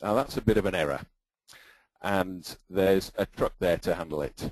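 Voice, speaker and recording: A man with an English accent, his very deep, low voice at a moderate pace and with ordinary pitch variation. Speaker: database consultant and presenter. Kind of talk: technical webinar presentation. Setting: online webinar with screen sharing.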